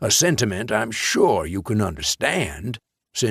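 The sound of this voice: Someone reads in an unforced voice while the background remains quiet.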